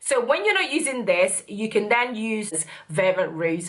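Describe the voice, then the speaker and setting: Audible room echo hangs around the recording. The woman in it talks at a moderate pace. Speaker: beauty youtuber. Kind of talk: product review.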